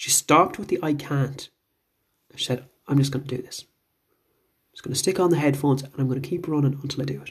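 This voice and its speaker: Very fast and animated, a man speaks with a fairly high pitch and a somewhat breathy sound. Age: 40s. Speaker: fitness coach and podcast host. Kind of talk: motivational monologue.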